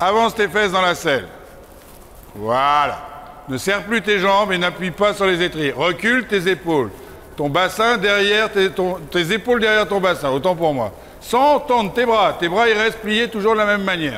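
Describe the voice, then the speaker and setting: A raised, projected voice at a moderate pace with lively intonation. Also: man. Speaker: riding instructor. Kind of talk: coaching instructions to a rider. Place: hall.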